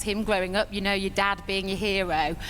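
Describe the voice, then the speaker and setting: A woman's medium-pitched voice in a British accent at a fairly quick pace, with audible room echo and music in the background. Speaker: network marketing distributor. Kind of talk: stage speech. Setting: stage with audience. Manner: quavering.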